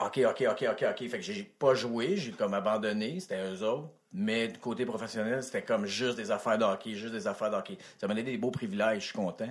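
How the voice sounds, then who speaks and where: A man's medium-pitched voice at a fairly quick pace, with very wide pitch swings. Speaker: actor. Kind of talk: casual chat.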